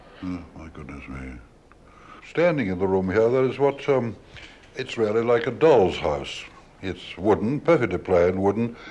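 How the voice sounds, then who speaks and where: A fairly low-pitched male voice at a moderate pace, with very wide pitch swings, big swings in loudness, and long, frequent pauses. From British. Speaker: radio broadcaster. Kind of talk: radio documentary presenting. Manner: old-school. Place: hall. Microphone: old recording.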